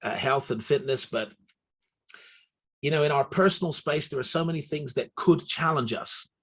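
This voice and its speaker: At a moderate pace, a man with a fairly high pitch and vocal fry speaks with ordinary pitch variation. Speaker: pastor. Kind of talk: sermon.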